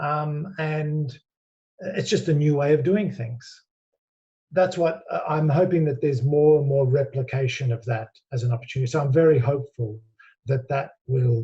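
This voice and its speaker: With an Australian accent, a man speaks at a moderate pace in a dark, mellow, somewhat breathy tone, his pitch fairly high with ordinary variation. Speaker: business executive. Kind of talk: interview.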